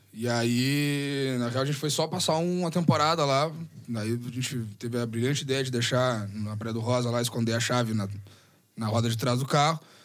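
A man at medium pitch and moderate pace, with ordinary pitch variation and audible room echo. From southern Rio Grande do Sul, Brazil. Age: 30s. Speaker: bass player. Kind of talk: casual chat. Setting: studio. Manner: halting.

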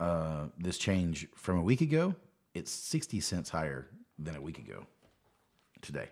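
A man with a very deep, low pitch speaks at a moderate pace, leaving long, frequent pauses. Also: ordinary pitch variation. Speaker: podcast co-host. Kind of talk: casual chat. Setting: studio.

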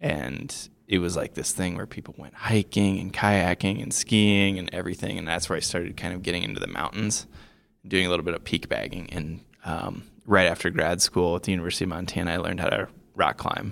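Here is a man with a very deep, low pitch. The recording is very clean, with a silent background. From US Midwest, Iowa. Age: 30s. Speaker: writer and adventure filmmaker. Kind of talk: interview. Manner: halting, many fillers.

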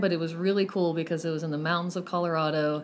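A woman speaks with a Texan accent. Her pitch is fairly low. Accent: Texan American. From Lubbock, Texas. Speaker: counselor. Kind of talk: interview. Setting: in-person, headmaster's office.

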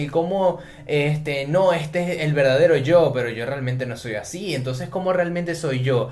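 There is audible room echo and noticeable background noise. A man talks with ordinary pitch variation. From Venezuela. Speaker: podcast co-host. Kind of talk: casual chat.

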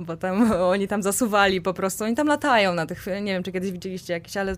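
Her pace is very fast. The woman's medium-pitched voice shows ordinary pitch variation. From central Poland, Kozienice. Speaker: amputee with a leg prosthesis. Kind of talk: podcast interview. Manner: halting, many fillers and repetitions.

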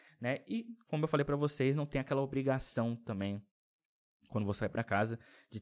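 A man with a Brasília accent speaks at a fairly quick pace with ordinary pitch variation, recorded very cleanly against a silent background. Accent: Brazilian Portuguese, Brasília. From Brazil, Brasília. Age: 20s. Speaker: YouTuber. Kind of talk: casual vlog monologue. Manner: casual, filler-heavy.

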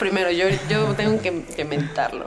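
Amid noticeable background noise and audible room echo, a woman speaks very slowly at a medium pitch. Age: 30s. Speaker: podcast host. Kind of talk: casual chat.

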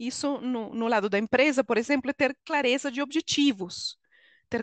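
A woman with a Venezuelan accent speaks at a high pitch with ordinary pitch variation. The sound is dry and close with no echo, over a quiet background. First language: Spanish (speaking Portuguese). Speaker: HR consultant and coach. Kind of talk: interview.

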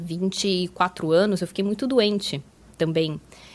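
Her voice is a plain, everyday voice, pitched in the middle range for a woman and varying in an ordinary way. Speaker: tech company partner manager. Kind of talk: interview.

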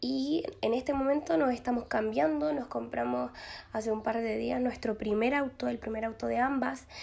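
A woman speaks at a fairly slow pace with very even loudness. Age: 20s. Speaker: podcast host. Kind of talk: casual monologue. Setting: empty glass-walled office. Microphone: possible echo in empty room.

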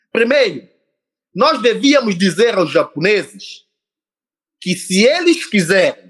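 This man speaks at a very slow pace. His pitch swings very widely. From São Tomé and Príncipe. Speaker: entrepreneur and social activist, former presidential candidate. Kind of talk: interview.

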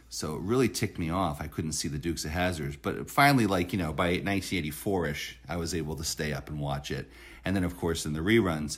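Very deep and low in pitch, a man speaks at a very fast pace with hardly any pauses and ordinary pitch variation. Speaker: beach business association director. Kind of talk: casual interview. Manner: halting, many fillers.

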